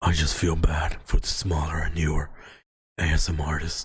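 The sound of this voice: A man puts on a character voice at a very deep, low pitch. He keeps a moderate pace.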